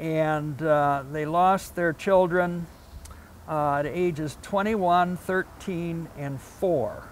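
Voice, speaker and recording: A man with a Midwestern American accent, high-pitched for a man, with ordinary pitch variation. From Toledo, Ohio. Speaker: local historian. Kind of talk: local history talk.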